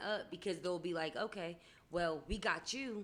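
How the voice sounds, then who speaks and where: A moderate pace and fairly even intonation. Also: woman. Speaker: podcast guest. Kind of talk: casual chat. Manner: loud.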